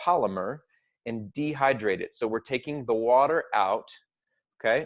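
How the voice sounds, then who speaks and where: A man's medium-pitched voice, with ordinary pitch variation, comes through over a quiet background. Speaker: teacher. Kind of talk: lecture. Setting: recorded at a computer with webcam. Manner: fast. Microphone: new small microphone.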